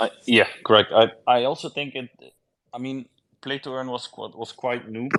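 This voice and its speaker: At a moderate pace, someone talks with a non-native accent. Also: man. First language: not English. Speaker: game project founder. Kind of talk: casual interview. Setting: online audio space. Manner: halting.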